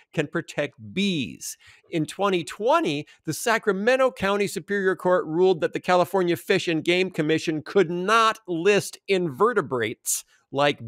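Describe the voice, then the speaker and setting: A man at a fairly slow pace with lively intonation, in a dry sound with no echo and a quiet background. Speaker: podcast co-host. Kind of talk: commentary. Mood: amused, lightly humorous. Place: home room.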